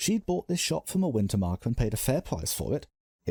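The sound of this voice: The speaker reads in an unforced reading voice. Behind it, the background is quiet.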